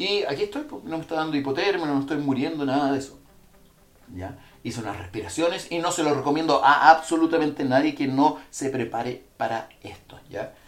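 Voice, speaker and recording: Amid audible room echo, a man with a fairly high voice talks fairly quickly, his loudness swinging a lot while his pitch varies in an ordinary way. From Chile. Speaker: podcast host, animal consultant. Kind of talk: casual livestream monologue; guided breathing exercise. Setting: livestream from a bathroom, in an ice bath. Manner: halting, many fillers and repetitions.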